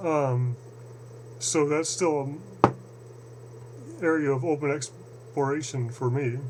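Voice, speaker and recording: With an American accent, a man speaks at a very slow pace with long, frequent pauses and fairly even intonation, against noticeable background noise. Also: medium pitch for a man. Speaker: channeling researcher video blogger. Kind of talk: casual monologue video address. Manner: hesitant, many fillers and repetitions.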